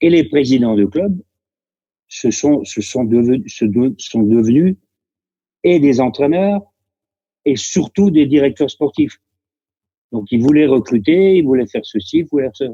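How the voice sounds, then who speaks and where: A man with a fairly high pitch and a dark, mellow tone speaks at a fairly slow pace. His intonation is lively, broken by long, frequent pauses. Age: 70s. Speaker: retired footballer. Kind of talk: interview.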